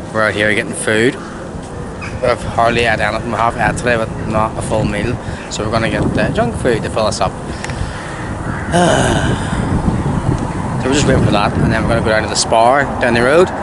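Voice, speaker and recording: Loud background noise sits under a man speaking at a moderate pace with ordinary pitch variation, in a dry sound with no echo. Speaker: vlogger. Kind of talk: casual vlog chat. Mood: relaxed, jokey. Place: street. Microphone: phone near.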